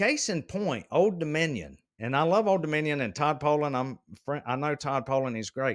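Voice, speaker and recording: An animated man with a Southern US accent speaks with ordinary pitch variation. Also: moderate pace. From US South, South Carolina. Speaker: logistics executive. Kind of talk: casual chat.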